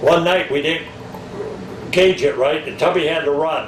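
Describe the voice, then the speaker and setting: Against noticeable background noise and audible room echo, a man with an American accent speaks at a moderate pace in a fairly high pitch. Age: 70s. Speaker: retired railroad worker. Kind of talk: interview reminiscence. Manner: halting, many false starts.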